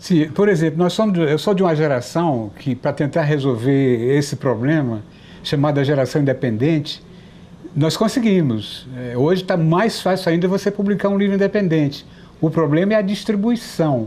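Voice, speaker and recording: Here is a plain, everyday voice from a man with a fairly high pitch. He speaks at a moderate pace with lively intonation and very even loudness. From Brazil, Piauí (Teresina). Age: 60s. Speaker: writer and journalist. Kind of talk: TV interview.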